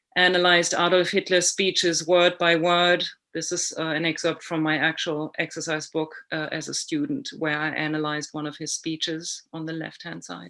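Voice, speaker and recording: A woman with a German accent speaks at a moderate pace and fairly low pitch, with hardly any pauses and monotone, flat intonation. Her tone is bright and sharp against a quiet background. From Germany. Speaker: author and illustrator. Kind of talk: prepared presentation.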